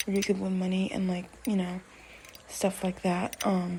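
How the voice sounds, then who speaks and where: Soft-spoken, a woman talks at a moderate pace and medium pitch in a monotone, flat delivery. There is noticeable background noise. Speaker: podcaster. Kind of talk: casual monologue. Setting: at home, walking around the room. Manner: soft-spoken, talking quietly; halting, many fillers.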